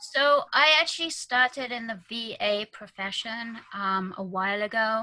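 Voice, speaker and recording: Her pitch is fairly high, with ordinary variation, and her tone is bright and sharp. The woman speaks at a fairly slow pace. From UK. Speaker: virtual assistant and business consultant. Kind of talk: interview.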